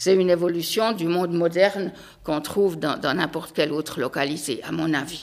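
The woman's fairly low pitch stays at a moderate pace throughout. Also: ordinary pitch variation. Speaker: local resident. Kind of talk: panel discussion. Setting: town hall meeting room.

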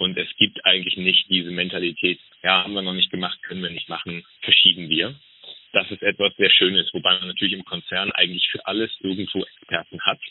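The speech runs at a fairly quick pace with big swings in loudness. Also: man. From northern Germany, Flensburg. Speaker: logistics manager. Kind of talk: interview. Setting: phone call. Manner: hesitant, many fillers.

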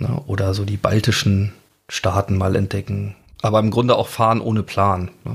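Somewhat breathy delivery at a moderate pace, intonation fairly even. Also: man, fairly low pitch for a man. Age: 40s. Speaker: audio biographer and podcast host. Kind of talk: interview. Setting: remote studio link call.

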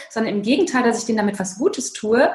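A woman speaks at a fairly high pitch. Background noise is noticeable. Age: 40s. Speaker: author and burnout coach. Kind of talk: interview.

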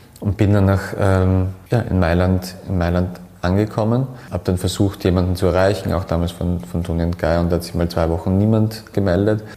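A man with a very deep, low pitch speaks fairly quickly and with fairly even intonation, noticeable background noise around him. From Austria, Graz. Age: 30s. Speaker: hairdresser and salon owner. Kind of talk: interview. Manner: halting, many repetitions.

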